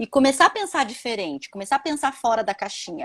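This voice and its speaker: A woman is speaking. She has a Minas Gerais accent. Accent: mineiro Brazilian Portuguese. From Minas Gerais, Brazil. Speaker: holistic therapist, former economist. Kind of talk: live-stream interview chat.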